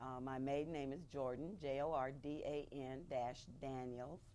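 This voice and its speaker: In an American accent, a woman with a very deep, low pitch speaks at a fairly slow pace amid audible room echo. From San Bernardino, California. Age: 60s. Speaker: oral history interviewee. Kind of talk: oral history interview.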